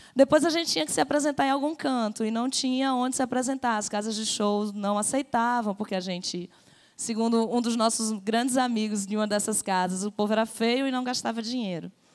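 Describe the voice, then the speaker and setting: A woman with an unremarkable speaking voice and a fairly high pitch talks at a fairly quick pace, with hardly any pauses and ordinary pitch variation. The recording is very clean, with a silent background. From Rio Grande do Norte, Brazil (Natal). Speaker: festival producer and musician. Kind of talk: panel discussion.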